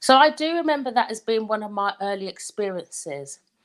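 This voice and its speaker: Very wide pitch swings in a Luton accent, on a very clean recording with a silent background. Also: woman. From England, Luton. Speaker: life coach. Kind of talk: live talk. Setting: livestream.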